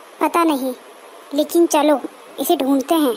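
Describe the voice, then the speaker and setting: A woman's cartoonish character voice, high and gentle in tone, with fairly even intonation and clear background noise. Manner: gentle, thoughtful.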